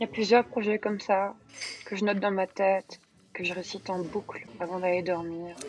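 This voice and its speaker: The speech moves at a moderate pace with fairly even intonation, and noticeable background noise is present. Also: woman, medium pitch for a woman. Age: 20s. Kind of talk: personal video diary voice-over. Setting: poor-quality microphone.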